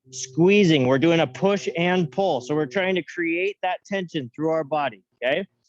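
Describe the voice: A man speaks at a moderate pace with fairly high pitch and ordinary pitch variation.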